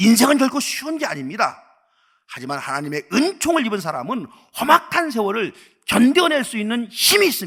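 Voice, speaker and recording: Moving at a fairly quick pace, a man with a high pitch and a bright, sharp tone makes very wide pitch swings. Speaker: pastor. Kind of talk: sermon.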